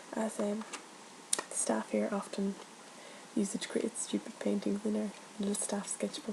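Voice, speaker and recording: Soft-spoken and medium in pitch, a woman talks at a moderate pace. Background noise is noticeable. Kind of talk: ASMR roleplay as an art shop assistant.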